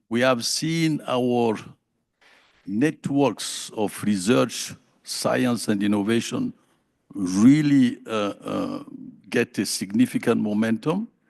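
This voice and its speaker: This man talks at a very slow pace with lively intonation. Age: 70s. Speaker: food systems envoy. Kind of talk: panel discussion. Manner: halting.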